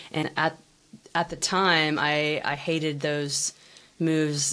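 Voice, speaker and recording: This woman's voice sits very deep and low. Her intonation stays monotone and flat. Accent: American. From United States. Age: 30s.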